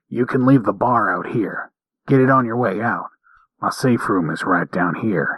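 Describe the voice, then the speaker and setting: Using a put-on character voice, a man growls in a gruff, medium-pitched tone at a moderate pace. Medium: read story.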